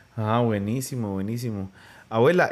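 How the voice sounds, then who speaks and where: A man speaking at a moderate pace. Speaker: podcast host interviewing his grandmother. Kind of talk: casual family interview. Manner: loud, speaking up for hard-of-hearing grandmother.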